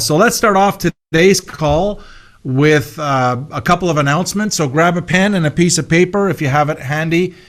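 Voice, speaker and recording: With music playing behind him, a man with a fairly high pitch speaks at a moderate pace and with lively intonation. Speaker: corporate webinar host. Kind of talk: corporate presentation. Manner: animated.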